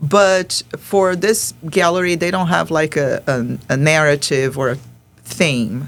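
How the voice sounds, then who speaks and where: Her voice is very deep and low, with vocal fry and ordinary pitch variation. This woman speaks at a very slow pace. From Brazil, Rio de Janeiro. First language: Portuguese. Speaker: artist. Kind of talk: podcast interview. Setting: studio podcast recording. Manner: halting, with frequent repetitions.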